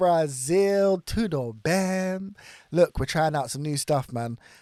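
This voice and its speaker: A dark, mellow tone in a British accent at a fairly slow pace, dry and close with no echo, in a very clean recording with a silent background. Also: man. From Britain. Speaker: reaction YouTuber. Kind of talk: casual reaction commentary. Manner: upbeat, excitable.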